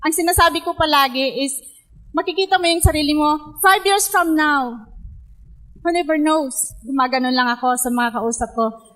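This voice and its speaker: Against a quiet background, a woman with a bright, sharp tone and a high pitch talks at a moderate pace with ordinary pitch variation. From Philippines, Pangasinan; Philippines. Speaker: network marketing distributor; speaker. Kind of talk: testimony. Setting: stage with audience. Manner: halting. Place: hall. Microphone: handheld.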